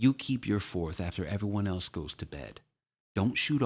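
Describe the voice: Quiet background behind plain reading aloud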